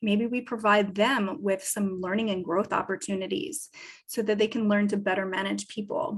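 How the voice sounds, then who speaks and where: A woman speaks at a moderate pace and a medium pitch. Her voice is somewhat breathy, with ordinary pitch variation. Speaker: business advisor. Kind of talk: lecture.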